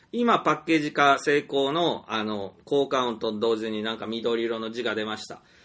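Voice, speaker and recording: With a bright, sharp tone, a man speaks at a moderate pace on a very clean recording with a silent background. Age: 40s. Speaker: storyteller and indie game developer. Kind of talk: solo monologue podcast. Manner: hesitant, many fillers.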